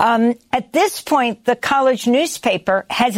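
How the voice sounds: Her pitch high, a woman speaks at a slow pace.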